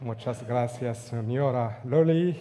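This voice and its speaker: In a room with audible echo, a man speaks very slowly at a medium pitch in a dark, mellow tone. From Morocco, near Agadir. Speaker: linguist. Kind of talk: conference talk. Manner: hesitant, many fillers.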